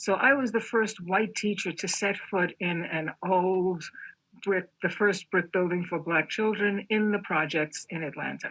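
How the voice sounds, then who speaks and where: A woman with a New York accent speaks at a fairly slow pace and medium pitch, with ordinary pitch variation. The recording is very clean, with a silent background. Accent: New York American. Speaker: artist. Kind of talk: interview.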